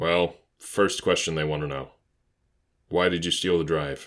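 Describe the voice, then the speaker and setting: A man's put-on character voice, raspy and soft-spoken, very deep and low in pitch, monotone and flat in intonation, at a moderate pace. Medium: read story. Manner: soft, calm, professional.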